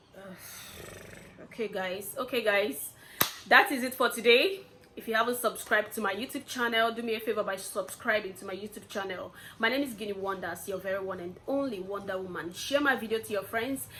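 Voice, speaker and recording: Noticeable background noise sits behind a woman speaking at a fairly quick pace. Her fairly high pitch shows ordinary variation, while her loudness swings widely. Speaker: YouTuber. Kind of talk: casual vlog commentary. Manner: soft-spoken.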